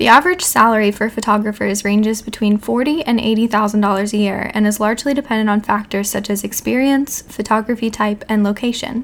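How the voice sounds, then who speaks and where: Over noticeable background noise, a woman talks at a very fast pace with hardly any pauses, her fairly high voice keeping fairly even intonation. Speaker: podcast co-host.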